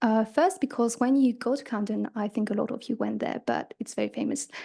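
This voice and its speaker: A woman's fairly high, fairly quick voice with vocal fry and a non-native accent. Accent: foreign accent, noticeable. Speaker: conference presenter, student writer. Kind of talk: conference talk. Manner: hesitant, many fillers and restarts.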